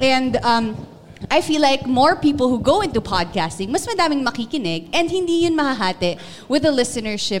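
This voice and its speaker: Amid noticeable background noise, a woman talks at a moderate pace with very wide pitch swings. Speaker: radio DJ. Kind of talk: panel discussion. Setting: stage with audience.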